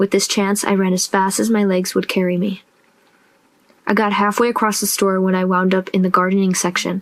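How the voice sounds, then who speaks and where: A woman talks at a fairly quick pace in a medium pitch and a monotone, flat intonation, against noticeable background noise. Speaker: audiobook narrator. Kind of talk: audiobook reading of a fiction story.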